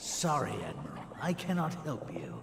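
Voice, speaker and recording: The man uses a put-on character voice at a moderate pace. Clear background noise and a slight echo are present. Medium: video game. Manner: haughty.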